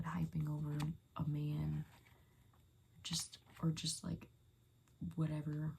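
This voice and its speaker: A woman speaks softly. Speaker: ASMR creator. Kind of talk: ASMR soft-spoken rambling. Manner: soft-spoken; casual rambling with fillers.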